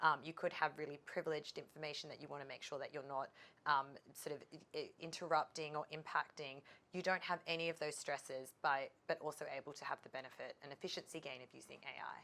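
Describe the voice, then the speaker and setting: A woman with a very deep, low pitch talks at a very fast pace in a monotone, flat intonation. Her tone is bright and sharp, with big swings in loudness. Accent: Australian. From Australia. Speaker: legal tech expert, lawyer by background. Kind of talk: trade show interview.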